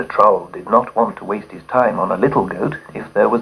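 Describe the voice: The text is plainly read aloud.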